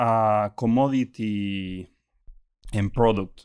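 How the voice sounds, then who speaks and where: A man with a Chilean accent, in a very clean recording with a silent background and a dry, close sound with no echo. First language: Spanish. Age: 20s. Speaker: startup executive. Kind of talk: interview. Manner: halting.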